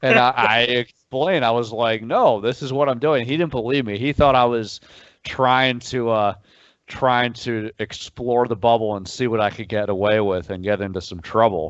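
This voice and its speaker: This man has an unremarkable speaking voice at medium pitch. He talks at a moderate pace with ordinary pitch variation. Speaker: sports reporter. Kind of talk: interview.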